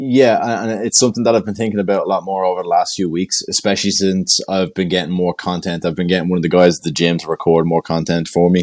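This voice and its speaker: The speech comes at a very fast pace in an Irish accent, with hardly any pauses. Intonation stays fairly even. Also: man, very deep, low pitch for a man. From Ireland. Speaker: jiu jitsu brown belt and instructor. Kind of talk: casual podcast interview.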